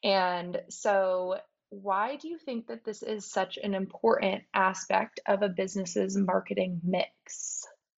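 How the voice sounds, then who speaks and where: A woman's medium-pitched voice with an American accent at a very slow pace, with ordinary pitch variation and hardly any pauses. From US Pacific Northwest, small town in Washington State. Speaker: podcast host and business founder. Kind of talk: interview.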